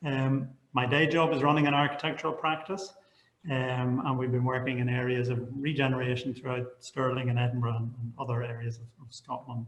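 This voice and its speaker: Talking at a fairly quick pace, a man with a Northern Irish accent keeps a medium pitch and fairly even intonation while his loudness swings widely. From Northern Ireland, Belfast. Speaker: architect. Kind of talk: online panel presentation. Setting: online video panel. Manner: halting, repeats words.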